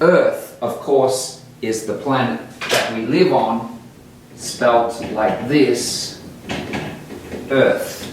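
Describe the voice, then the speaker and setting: Over noticeable background noise and audible room echo, a man with an Australian accent speaks at a very slow pace with long, frequent pauses. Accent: Australian English, non-rhotic. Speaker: English teacher. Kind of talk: tutorial. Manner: slow and clear.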